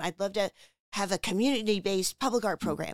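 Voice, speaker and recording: Her American accent clear, a woman talks at a fairly quick pace in a medium pitch, with an animated tone and ordinary pitch variation. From US Northeast, New Jersey shore. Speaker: arts nonprofit director. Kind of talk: interview.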